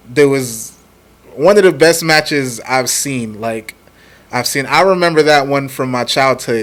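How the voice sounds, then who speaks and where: A man talks fairly slowly with a fairly high pitch as noticeable background noise plays behind him. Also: ordinary pitch variation. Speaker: wrestling fan co-host. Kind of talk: casual chat.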